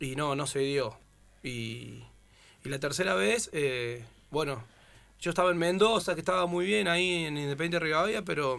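A man with a fairly high, bright and sharp voice speaks at a moderate pace with lively intonation and long, frequent pauses. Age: 30s. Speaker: footballer. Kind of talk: casual chat.

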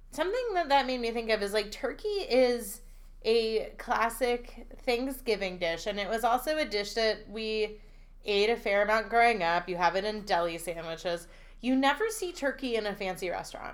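Using a plain, everyday voice, a woman speaks in an American accent at a moderate pace. Her pitch is fairly high and her intonation lively. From Pennsylvania Dutch country. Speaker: food podcast co-host. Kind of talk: casual chat.

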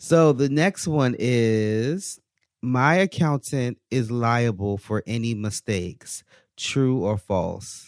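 In a very clean recording with a silent background and a dry, close sound with no echo, a man at medium pitch speaks very slowly with lively intonation. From US Mid-Atlantic (DC/Maryland area). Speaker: podcast host. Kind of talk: casual chat.

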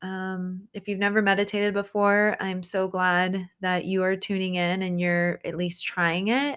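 Heard in a very clean recording with a silent background, the voice has a gentle, soothing tone and a monotone, flat intonation. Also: woman. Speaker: therapist podcast host. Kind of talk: guided meditation. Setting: home recording. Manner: slow, soothing, calm; gentle, unhurried with pauses.

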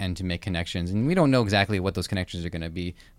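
A man with a Canadian accent speaks at a very deep, low pitch. His pitch variation is ordinary, and the recording is very clean with a silent background. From Canada (Toronto). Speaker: podcast host. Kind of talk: interview conversation.

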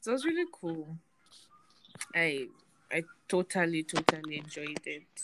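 A woman with a Nigerian accent, fairly low in pitch with ordinary variation, at a moderate pace with long, frequent pauses, in a dry, close sound with no echo. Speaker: podcast host. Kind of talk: casual chat.

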